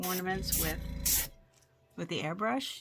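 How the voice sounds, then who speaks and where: The voice is soft-spoken and fairly slow. Music plays in the background. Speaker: craft tutorial creator. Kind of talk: tutorial. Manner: casual.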